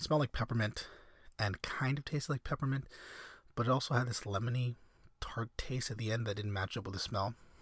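A somewhat breathy voice speaks at a very fast pace with ordinary pitch variation. The recording is very clean, with a silent background. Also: man, long, frequent pauses. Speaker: podcast host. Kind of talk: casual rambling monologue. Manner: halting, many fillers; soft-spoken.

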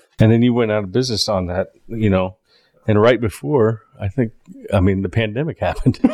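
He has an unremarkable speaking voice, fairly low in pitch, with ordinary pitch variation and an American accent. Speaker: podcast host. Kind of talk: casual interview conversation.

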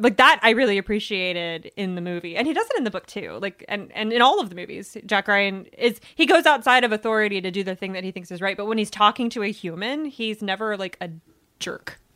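On a very clean recording with a silent background, a woman with an American accent talks very fast at a medium pitch, with ordinary pitch variation and a bright, sharp tone. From Virginia. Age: 30s. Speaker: book website editor. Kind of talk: casual chat.

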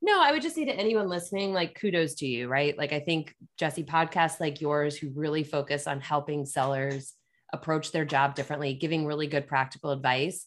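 A woman with an American accent at a very deep, low pitch, fairly quick, with fairly even intonation. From Pennsylvania. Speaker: sales executive. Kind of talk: casual interview.

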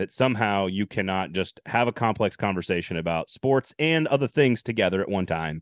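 With lively intonation, an unremarkable speaking voice proceeds at a fairly quick pace. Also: man, fairly low pitch for a man. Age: 40s. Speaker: sports podcast host. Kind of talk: casual chat.

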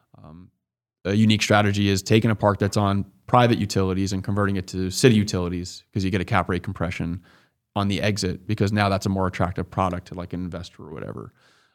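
A man with a fairly low pitch talks at a very fast pace. His intonation stays fairly even, but his loudness swings a lot. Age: 20s. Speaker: pharmacist turned real estate investor. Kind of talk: podcast interview.

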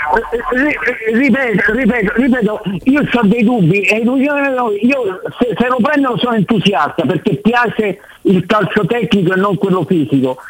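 A high-pitched man with lively intonation and an animated tone, his loudness very even, against noticeable background noise. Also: fairly slow pace. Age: 60s. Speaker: caller. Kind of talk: casual chat. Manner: excitable.

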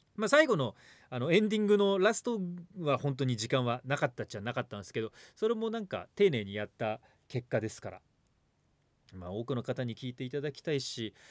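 Recorded very cleanly against a silent background with a dry, close sound and no echo, a man speaks at a fairly quick pace with very wide pitch swings and big swings in loudness. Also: medium pitch for a man. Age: 40s. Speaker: radio host. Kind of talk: casual chat. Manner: animated.

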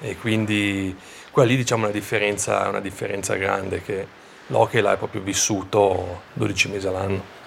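A man speaks at a moderate pace with fairly even intonation. Noticeable background noise runs underneath. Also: fairly low pitch for a man. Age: 30s. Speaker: professional ice hockey player. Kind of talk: interview.

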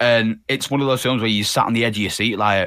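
A man with a Yorkshire accent at a fairly quick pace, in a very clean recording with a silent background and a dry, close sound with no echo. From northern England, Leeds. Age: 20s. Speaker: animator and thumbnail artist. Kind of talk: casual chat.

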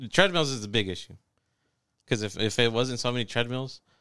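A bright, sharp tone comes at a very fast pace in a very clean recording with a silent background. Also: man. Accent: American. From Texas. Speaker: podcast host. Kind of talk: casual chat.

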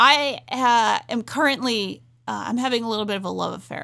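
Using an American accent, a woman speaks at a fairly quick pace in an animated, enthusiastic way, her bright, sharp tone edged with vocal fry, on a very clean recording with a silent background. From Rhode Island, US. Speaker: podcast editor-in-chief and wrestling and MMA fan. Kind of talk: casual chat.

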